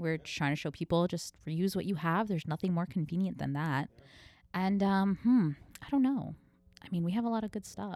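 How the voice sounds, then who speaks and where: A woman speaks in a plain, everyday voice at a fairly low pitch with ordinary pitch variation, in a very clean recording with a silent background. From New York, Cuban-American family. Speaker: sustainable store owner. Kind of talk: casual chat. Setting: in her shop.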